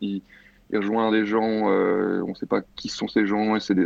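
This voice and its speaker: The man has a normal speaking voice, pitched fairly low, and keeps to a moderate pace. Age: 20s. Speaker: film director and critic. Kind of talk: panel discussion.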